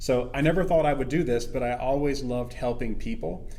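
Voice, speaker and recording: Speaking with an American accent, a man uses a medium pitch and ordinary pitch variation at a moderate pace. Room echo can be heard. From US South, small town. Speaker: financial advisor. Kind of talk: casual interview.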